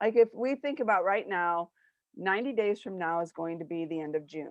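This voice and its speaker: At a moderate pace, a woman talks at a medium pitch with lively intonation. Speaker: business owner and show host. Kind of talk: casual chat. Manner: loud; animated.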